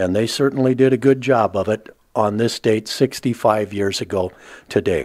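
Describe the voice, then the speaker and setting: A man speaks at a medium pitch in an ordinary speaking voice. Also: fairly even intonation, moderate pace. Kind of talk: interviewer questions.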